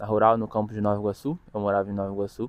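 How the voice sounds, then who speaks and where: A man at a medium pitch. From Brazil, Rio de Janeiro. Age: 20s. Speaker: student vlogger. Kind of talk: casual vlog monologue.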